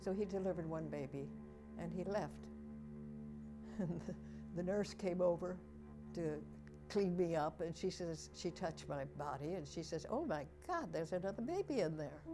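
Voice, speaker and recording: A woman talks at a moderate rate. Behind her, music can be heard. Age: 80s+. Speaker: founder of a recording service for the blind. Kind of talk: interview answer.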